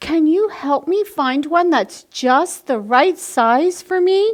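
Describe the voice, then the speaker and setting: At an extremely high pitch, a woman does a put-on character voice at a fairly slow pace. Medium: read story.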